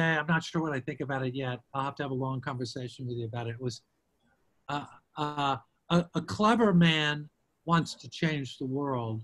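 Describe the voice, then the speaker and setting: A man talks with ordinary pitch variation at a moderate pace over a quiet background. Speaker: theatre artistic director. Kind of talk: interview questions. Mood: reflective. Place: home room. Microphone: video call.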